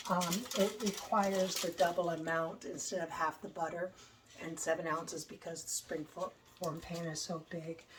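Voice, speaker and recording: A woman's fairly low voice at a moderate pace, fairly even in intonation, over noticeable background noise. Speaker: home cooking channel host. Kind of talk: cooking tutorial. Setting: home kitchen. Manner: casual, hesitant with fillers.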